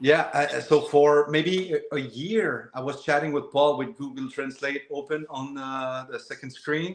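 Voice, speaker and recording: A man's fairly high voice, fairly slow and fairly even in intonation, with hardly any pauses. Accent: Quebec. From Quebec, Shawinigan. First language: French. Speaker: woodworker and wood turner. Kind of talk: casual interview chat. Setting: live video interview. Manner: hesitant, many fillers and repeats.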